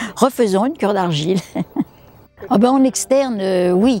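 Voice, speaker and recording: A woman's medium-pitched voice with lively intonation and a moderate pace, set against noticeable background noise. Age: 80s+. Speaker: clay therapy practitioner. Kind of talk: interview answer.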